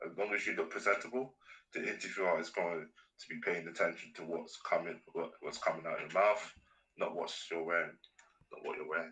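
A London accent at a fairly quick pace, with long, frequent pauses. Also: man. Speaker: business student. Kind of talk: casual chat.

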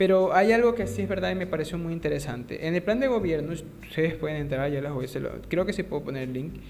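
A man with a fairly high pitch talks at a very fast pace with hardly any pauses. Noticeable background noise and audible room echo fill the recording. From Ecuador. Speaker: podcast host, economics student. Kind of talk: casual interview podcast. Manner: halting, many fillers.

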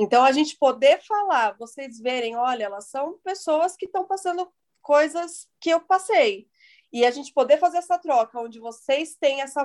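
The loudness swings widely and the intonation is lively. Delivery is at a moderate pace, with a dry, close sound and no echo. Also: woman. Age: 30s. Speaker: podcast host. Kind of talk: casual chat.

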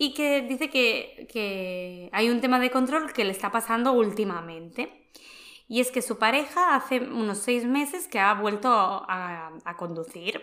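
Using a plain, everyday voice, a woman talks at a fairly slow pace, her fairly high pitch carried by lively intonation. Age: 30s. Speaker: personal development podcast host. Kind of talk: casual chat.

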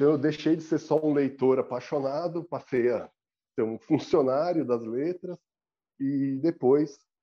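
A man speaks at a fairly slow pace with a fairly high pitch. His pitch variation is ordinary. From Brazil, São Paulo city. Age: 40s. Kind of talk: interview.

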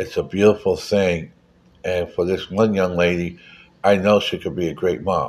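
In a very clean recording with a silent background, a man speaks. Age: 60s. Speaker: political podcast host. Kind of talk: solo political commentary monologue. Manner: halting, many fillers.

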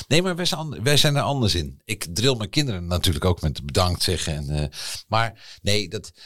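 Very deep and low, a man's voice moves through very wide pitch swings at a fairly slow pace. The recording is very clean, with a silent background. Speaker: podcast co-host. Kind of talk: casual chat.

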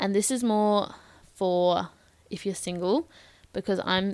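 A woman with an Australian accent talks at a moderate pace and a medium pitch, recorded very cleanly against a silent background. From Australia, Bendigo, Victoria. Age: 20s. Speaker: podcast host. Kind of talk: solo advice monologue. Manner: casual, conversational.

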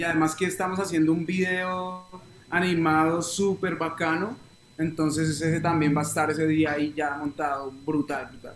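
His intonation monotone and flat, a man with a fairly high pitch speaks at a moderate pace. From Colombia, Bogotá and Neiva (Huila). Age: 20s. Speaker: reggae singer. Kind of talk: interview.

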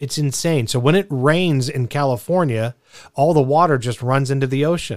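This is a normal speaking voice with ordinary pitch variation. The pace is moderate. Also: man, fairly high pitch for a man. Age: 40s. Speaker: radio talk show host. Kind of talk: call-in talk radio. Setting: radio studio.

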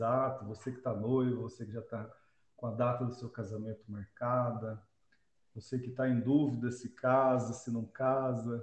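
Somewhat breathy and monotone, a man speaks at a moderate pace with flat intonation. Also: medium pitch for a man. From Brazil, Londrina (Paraná). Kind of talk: casual religious discussion.

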